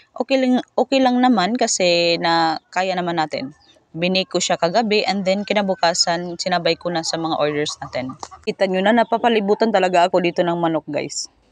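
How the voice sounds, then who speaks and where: A woman's medium-pitched voice at a fairly quick pace, with ordinary pitch variation and a dry, close sound with no echo. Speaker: home baker. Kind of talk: voice-over tutorial. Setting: at home. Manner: loud.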